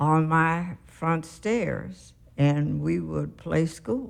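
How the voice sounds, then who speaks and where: Her pace is very slow. The woman's pitch sits fairly low, with an American accent. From Chicago, US Midwest. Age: 90s. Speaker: retired teacher and architect's widow. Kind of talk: oral history interview.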